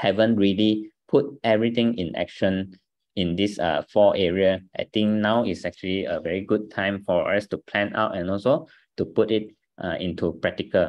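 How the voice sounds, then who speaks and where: A man talks at a moderate pace with a fairly low pitch and fairly even intonation. The background is quiet. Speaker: business team trainer. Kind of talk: training talk. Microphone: video call.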